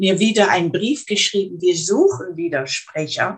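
A woman's somewhat breathy, medium-pitched voice with lively intonation. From Netherlands (Arnhem). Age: 80s+. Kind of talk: interview. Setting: video call. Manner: halting, repeats words.

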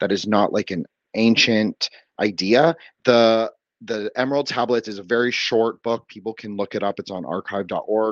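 An American-accented man at medium pitch and moderate pace, with fairly even intonation, a dry, close sound with no echo and a quiet background. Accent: American-sounding. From Toronto, Canada. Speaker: podcast guest. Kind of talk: casual chat.

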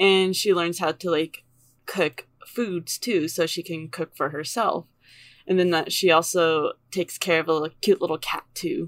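A woman with a normal speaking voice at a fairly low pitch, fairly slow pace and fairly even intonation, in a very clean recording with a silent background and a dry, close sound with no echo. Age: 20s. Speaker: podcast co-host. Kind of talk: casual chat. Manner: giggly.

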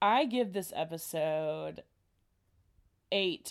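The woman has an American accent. Her tone is animated. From United States. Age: 20s. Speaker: podcast co-host, college student. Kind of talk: casual chat.

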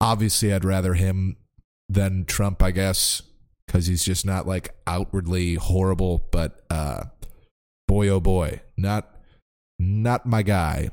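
Fairly even intonation at a very slow pace, with long, frequent pauses, in a very clean recording against a silent background. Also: man, very deep, low pitch for a man. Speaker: podcast host and stand-up comedian. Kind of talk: solo casual monologue. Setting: home recording with headphones.

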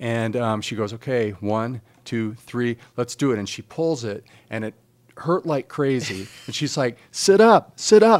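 In a normal speaking voice, a man at a medium pitch talks at a fairly slow pace, with ordinary pitch variation and big swings in loudness. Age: 50s. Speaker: financial advisor and wellness coach. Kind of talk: casual interview.

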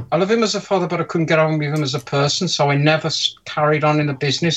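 A man speaks with an English accent. His pitch is fairly high. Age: 50s. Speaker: mod maker. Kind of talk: casual chat. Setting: video call.

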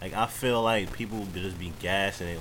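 A man speaks in a New York accent with a very deep, low voice. Audible room echo surrounds him. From New York (Queens). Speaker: podcast host. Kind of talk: casual chat. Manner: animated.

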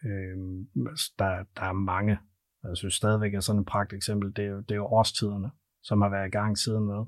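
Against a quiet background, a man with a plain, everyday voice and fairly low pitch talks at a moderate pace with fairly even intonation. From North Jutland, Denmark. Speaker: payments company sales director. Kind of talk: interview. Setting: studio.

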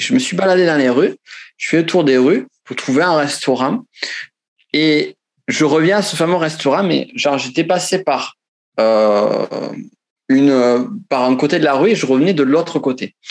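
A man with a Pyrenees accent and lively intonation at a moderate pace, with long, frequent pauses. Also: fairly high pitch for a man. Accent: southern French Pyrenees. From French Pyrenees, southwest France. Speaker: author and self-knowledge trainer. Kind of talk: interview conversation. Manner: halting, repeats words.

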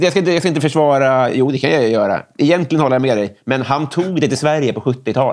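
With an unremarkable speaking voice, a fairly high-pitched man talks at a fairly quick pace with hardly any pauses, ordinary pitch variation and very even loudness. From Stockholm area, Sweden (Järfälla). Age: 30s. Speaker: comedian and writer. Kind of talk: casual chat.

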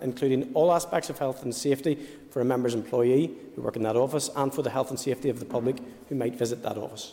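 A man talks at a very fast pace and a medium pitch. Noticeable background noise runs underneath. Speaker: Assembly member answering for the Commission. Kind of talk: parliamentary proceedings, formal answers with some ad-lib.

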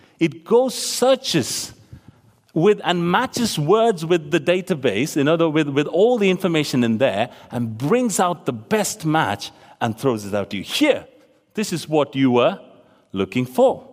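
A man with a Tamil accent, fairly high pitch, and animated tone, his pitch swinging very widely at a fairly slow pace with long, frequent pauses. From Tamil-speaking region of South Asia. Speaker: preacher. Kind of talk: sermon. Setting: church. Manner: animated, conversational.

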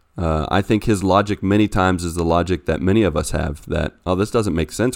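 A man with an American accent speaks at a fairly quick pace in a very deep, low pitch with ordinary pitch variation. The recording is very clean, with a silent background. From US, West Virginia. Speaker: pastor and missionary. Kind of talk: casual chat about scripture.

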